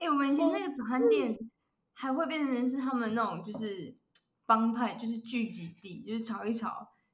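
Fairly high in pitch, this woman has a normal speaking voice. Her intonation is lively and her pace moderate. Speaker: podcast co-host. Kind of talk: casual chat.

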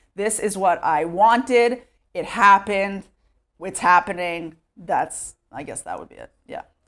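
In a very clean recording with a silent background, a woman speaks with a slight Texas accent at a fairly slow pace. Her medium pitch shows ordinary variation, and her loudness swings widely. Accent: American English, light Texas. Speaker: immigrant to Israel. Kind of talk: interview. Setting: at home. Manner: casual, filler-heavy.

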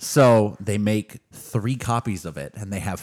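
An American accent marks this man's fairly low voice, an unremarkable speaking voice with fairly even intonation. The recording is very clean, with a silent background. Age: 30s. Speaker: book podcast co-host. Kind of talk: casual chat.

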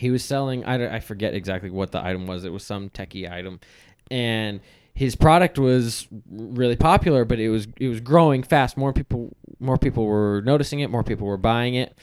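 The recording is very clean, with a silent background. A man with an unremarkable speaking voice talks at a medium pitch with ordinary pitch variation. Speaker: podcast host. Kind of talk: casual banter podcast.

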